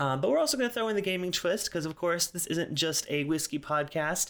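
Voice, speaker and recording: In an ordinary speaking voice, a man talks at a fairly quick pace with lively intonation, on a very clean recording with a silent background. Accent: American. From US South, South Carolina. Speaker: podcast host and whiskey reviewer. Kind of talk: solo casual monologue. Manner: casual, frequent filler words.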